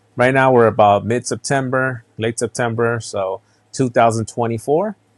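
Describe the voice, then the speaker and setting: The sound is dry and close with no echo as a man speaks in a relaxed tone with monotone, flat intonation. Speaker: podcast host and reseller. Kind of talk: casual solo podcast. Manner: relaxed, conversational with filler words.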